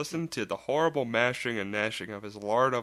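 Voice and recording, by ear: The voice reads aloud naturally, with lively rises and falls in intonation.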